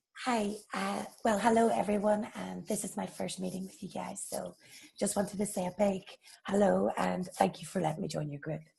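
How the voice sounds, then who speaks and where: With an Irish accent, a woman speaks at a moderate pace, her loudness swinging widely. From Ireland. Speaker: corporate employee, new group member. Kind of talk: casual group video call introduction.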